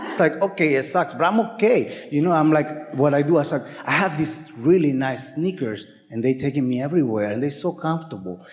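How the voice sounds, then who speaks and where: Over noticeable background noise, a man with a non-native accent speaks fairly quickly at a fairly high pitch, with lively intonation. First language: not English. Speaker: seminar audience member asking a question. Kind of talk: live Q&A exchange. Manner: halting, repeats words.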